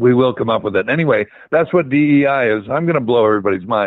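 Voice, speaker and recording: An American-accented man at a very fast pace and medium pitch. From US Midwest, Ohio. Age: 70s. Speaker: activist guest. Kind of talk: interview conversation. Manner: animated.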